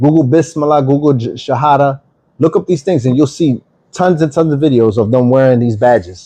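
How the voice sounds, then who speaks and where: A man with a Philadelphia accent speaks at a fairly quick pace in a dark, mellow tone. His loudness stays very even, and his pitch variation is ordinary. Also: fairly high pitch for a man. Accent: Philadelphia American English. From US, Philadelphia. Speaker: online Bible teacher. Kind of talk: livestream Bible teaching. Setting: TikTok livestream.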